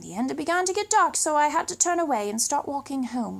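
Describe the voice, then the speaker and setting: A woman with a British accent speaks with very wide pitch swings. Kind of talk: children's story read-aloud.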